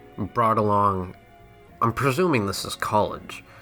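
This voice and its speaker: A man speaks with music in the background. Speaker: YouTube commentator. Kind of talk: casual commentary to camera.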